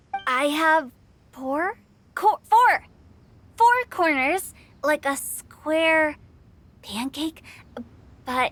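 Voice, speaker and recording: An extremely high-pitched, put-on character voice moves at a very slow pace. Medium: video game. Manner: formal, hesitant.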